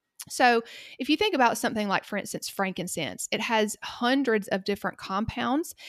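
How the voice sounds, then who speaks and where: Recorded very cleanly with a silent background and a dry, close sound with no echo, the speaker talks at a fairly quick pace in a Southern US accent with ordinary pitch variation. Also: woman. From US South, Georgia. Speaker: pharmacist. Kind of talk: casual interview chat.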